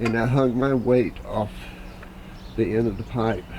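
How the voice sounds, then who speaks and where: With fairly even intonation, a man talks as noticeable background noise carries on behind him. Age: 60s. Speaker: DIY video maker. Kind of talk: tutorial. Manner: halting.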